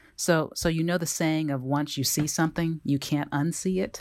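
A woman's very deep, low voice with an American accent, on a very clean recording with a silent background. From Kansas, US Midwest. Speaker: government lawyer. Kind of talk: interview.

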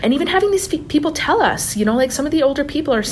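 A woman with a Canadian accent and lively intonation, against noticeable background noise. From Lac Sainte Anne, Alberta, Canada. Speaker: podcast co-host and master's student. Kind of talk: casual interview chat.

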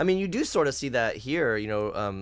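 Speaking with an American accent, a man uses an unremarkable speaking voice at medium pitch, with lively intonation and a moderate pace. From United States. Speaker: podcast host and musician. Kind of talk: casual chat.

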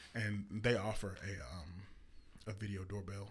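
A man speaks at a moderate pace with a fairly low, somewhat breathy voice. His intonation stays fairly even. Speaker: podcast host. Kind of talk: casual chat.

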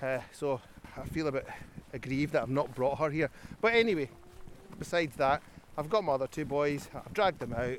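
In a Scottish accent, a man with a fairly high pitch speaks at a very fast pace. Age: 40s. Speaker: organisation founder, walk leader. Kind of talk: casual interview. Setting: outdoors on a forest walk.

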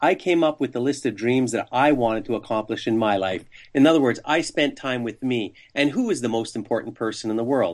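Set against a quiet background, an ordinary speaking voice moves at a moderate pace with ordinary pitch variation. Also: man. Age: 60s. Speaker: sales trainer and author. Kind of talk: interview.

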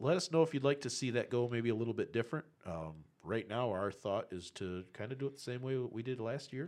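A man's normal speaking voice at a medium pitch. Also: lively intonation, fairly quick pace, hardly any pauses. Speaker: drag racing podcast co-host. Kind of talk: casual chat.

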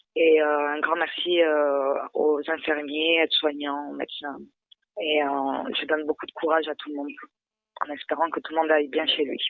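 A woman's very deep, low voice at a moderate pace, monotone and flat, with long, frequent pauses. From southern France, Montpellier. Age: 20s. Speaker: mother in social housing shelter. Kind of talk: phone interview. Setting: phone call. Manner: halting, many hesitations.

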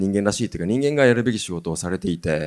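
Lively in intonation, a man speaks very fast at a fairly low pitch on a very clean recording with a silent background. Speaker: company executive moderating a talk. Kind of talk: panel talk.

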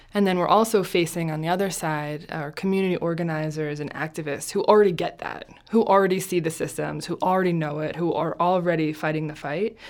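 A woman speaks at a very fast pace with an American accent, her pitch fairly low and her intonation fairly even. She hardly pauses, and noticeable background noise runs underneath. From New Jersey. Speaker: compassion training nonprofit founder. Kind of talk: interview. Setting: studio.

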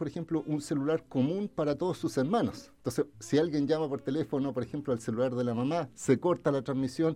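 A man speaks with a dark, mellow tone at a fairly quick pace. He hardly pauses at all. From Chile, Viña del Mar area. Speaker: lawyer and political candidate. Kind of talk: radio interview.

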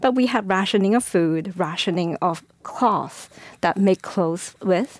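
A woman speaks with a Chinese accent at medium pitch. Her loudness is very even. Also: ordinary pitch variation. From China. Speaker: school board candidate. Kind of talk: interview. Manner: halting.

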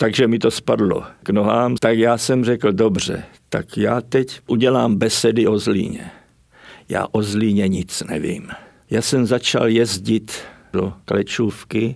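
A man's very slow speech with vocal fry and fairly even intonation. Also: medium pitch for a man. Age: 80s+. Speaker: writer and artist, former stage technician. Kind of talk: interview.

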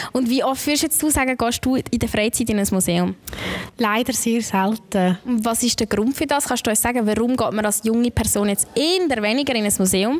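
A woman with a fairly high pitch, ordinary pitch variation and very even loudness, over noticeable background noise. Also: moderate pace. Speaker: podcast host. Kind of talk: live podcast conversation. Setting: museum with live audience.

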